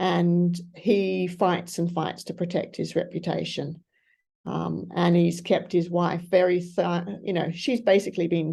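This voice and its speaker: A woman with an Australian accent speaks at a fairly slow pace, with vocal fry. Her voice is fairly low-pitched, with a dark, mellow tone. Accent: mild Australian. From Australia, grew up in Asia. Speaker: author and missionary. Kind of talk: interview answer.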